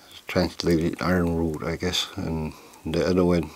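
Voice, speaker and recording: Over noticeable background noise, a man with an American accent speaks at a fairly slow pace in a very deep, low pitch and a monotone, flat intonation. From Oklahoma, Cheyenne community. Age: 60s. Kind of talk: oral history storytelling. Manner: halting, with repetitions.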